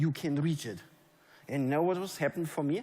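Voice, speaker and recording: A man's fairly high voice with a German accent, with audible room echo. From Germany. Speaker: network marketing leader. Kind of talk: motivational speech. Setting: stage with audience. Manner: animated.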